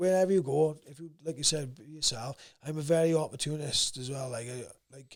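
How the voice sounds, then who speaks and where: Here a man talks with a South Wales accent. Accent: South Wales valleys. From Wales, South Wales valleys. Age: 30s. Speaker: amateur fighter. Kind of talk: casual chat. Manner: can sound aggressive.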